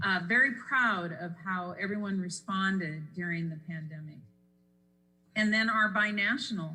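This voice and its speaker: With audible room echo around her, a woman talks at a moderate pace in a bright, sharp tone, her medium pitch varying in an ordinary way. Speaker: economic development presenter. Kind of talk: council presentation.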